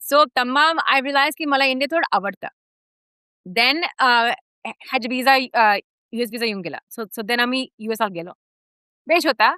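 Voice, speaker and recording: A woman speaks in a high, raised and projected voice with a bright, sharp tone. Her intonation is lively, and the sound is dry and close with no echo. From United States. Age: young. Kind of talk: interview answer. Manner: mixes English and Marathi.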